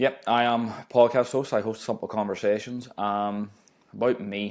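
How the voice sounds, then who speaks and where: A man talks at a moderate pace and a medium pitch in a monotone, flat intonation. The recording is very clean with a silent background. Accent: strong Northern Irish. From Northern Ireland, small town near Belfast. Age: 20s. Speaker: podcast host. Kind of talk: casual chat.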